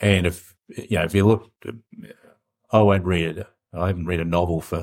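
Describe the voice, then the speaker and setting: Very deep, low male voice with a New Zealand accent and flat, monotone intonation. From New Zealand, South Island. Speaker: business founder. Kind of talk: interview.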